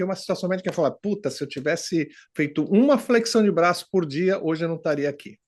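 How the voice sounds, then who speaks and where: A man talks in a normal speaking voice with lively intonation and a fairly quick pace. The background is quiet. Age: 60s. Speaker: immigrant client giving testimonial. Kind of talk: testimony.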